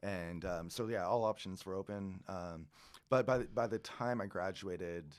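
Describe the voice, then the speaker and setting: The speaker talks at a moderate pace with ordinary pitch variation in a Californian accent. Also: man, very deep, low pitch for a man. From California, Central Coast. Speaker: winery owner. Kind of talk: casual chat. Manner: animated.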